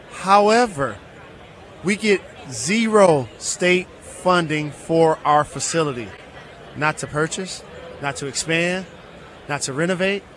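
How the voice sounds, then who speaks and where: A man's high-pitched voice at a very slow pace, dry with no echo, over light background noise. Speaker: guest. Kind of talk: interview answer. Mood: earnest, persuasive advocacy. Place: hall. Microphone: studio mic.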